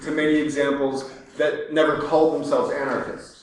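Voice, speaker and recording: There is audible room echo and noticeable background noise. A man with a fairly high pitch talks at a fairly quick pace. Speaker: speaker at a public talk. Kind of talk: public lecture. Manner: hesitant, many fillers.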